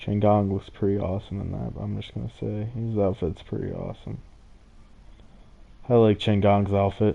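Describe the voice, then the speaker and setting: A man mumbles in a put-on character voice at a fairly low pitch and moderate pace, leaving long, frequent pauses. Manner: mumbling a little.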